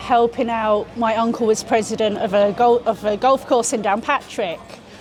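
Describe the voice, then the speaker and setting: A woman with a London accent speaks at a moderate pace with a fairly high pitch and ordinary pitch variation. Noticeable background noise runs behind her. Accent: London accent, kept after thirty years. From London, England. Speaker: interviewee. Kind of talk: interview. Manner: halting, many restarts.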